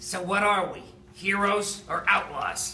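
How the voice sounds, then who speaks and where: A man puts on a character voice at a high pitch, speaking at a fairly slow pace with slight echo and clear background noise. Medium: stage play.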